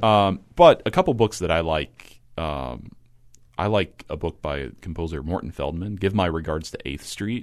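Speaking with an American accent, a man has a very deep, low pitch and vocal fry. His pace is moderate, with ordinary pitch variation. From rural Kentucky, US. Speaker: composer. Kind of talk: casual interview.

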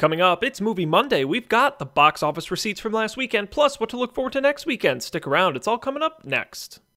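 A man speaks in a raised, projected voice at a very fast pace with hardly any pauses, his high pitch swinging very widely. His tone is upbeat, bright and sharp, and the sound is dry and close with no echo. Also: very clean recording, silent background. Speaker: radio host. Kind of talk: radio dj patter. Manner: brisk, upbeat rundown of box office numbers.

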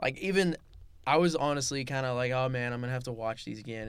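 A man is speaking here. He has a Californian accent. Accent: Californian American English. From Los Angeles, San Fernando Valley. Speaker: podcast host, college student athlete. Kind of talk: casual chat.

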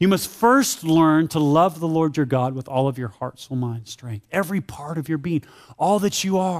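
Lively intonation and a moderate pace mark this man's speech. He has an ordinary speaking voice, fairly high in pitch. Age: 40s. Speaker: pastor. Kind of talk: sermon.

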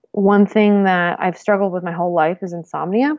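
The talking proceeds at a moderate pace. Music can be heard behind it. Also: woman. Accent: American. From US Northeast. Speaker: herbalist and intuition teacher. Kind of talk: casual chat.

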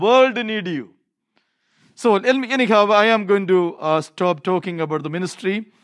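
A man speaks with an Indian accent.

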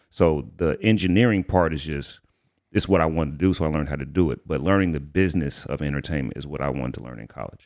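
A man with a very deep, low pitch and vocal fry talks at a very fast pace with big swings in loudness. The recording is very clean, with a silent background. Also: ordinary pitch variation. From Atlanta, Georgia. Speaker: rapper and studio engineer. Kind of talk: casual interview.

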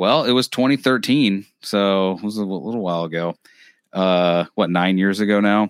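A man's normal speaking voice, fairly low in pitch with ordinary variation, at a moderate pace, in a dry, close recording with no echo, very clean with a silent background. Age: 30s. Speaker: podcast host. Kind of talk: casual chat.

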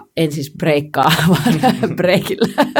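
A woman's voice, fairly low in pitch. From Finland, Helsinki. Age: 30s. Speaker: pole dance and street workout world champion, entrepreneur. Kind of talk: casual interview chat.

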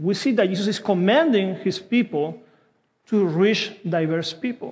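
Speaking at a fairly slow pace in a Spanish accent, a man with a high voice is heard with audible room echo. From South America. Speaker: pastor. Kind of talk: sermon. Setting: church.

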